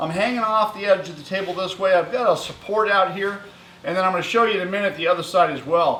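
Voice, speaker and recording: A man talks at a very fast pace in a high pitch, keeping his intonation fairly even against noticeable background noise. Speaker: welding and fabrication YouTuber. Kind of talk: workshop tutorial. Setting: metal workshop. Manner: casual, many filler words; loud, yelling across the shop. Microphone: camera far away.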